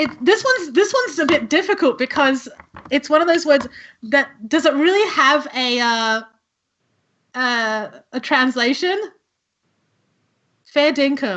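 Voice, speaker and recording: A woman with an Australian accent, high in pitch with lively intonation, at a fairly slow pace with long, frequent pauses. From Australia (born in Italy, emigrated young). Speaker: cosplayer streamer. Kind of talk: casual live-stream game chat. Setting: live stream. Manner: animated.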